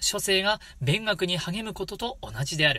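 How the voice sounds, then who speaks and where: On a very clean recording with a silent background, a man projects a raised, high, bright and sharp voice at a fairly slow pace with ordinary pitch variation. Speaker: shigin (Japanese poetry chanting) channel host. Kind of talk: casual solo talk to viewers.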